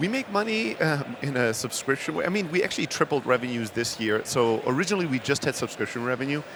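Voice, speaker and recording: Very fast, lively speech with hardly any pauses over noticeable background noise. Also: man, fairly high pitch for a man. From Germany, Greek-born. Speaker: startup founder. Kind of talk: podcast interview. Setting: podcast stage at a conference.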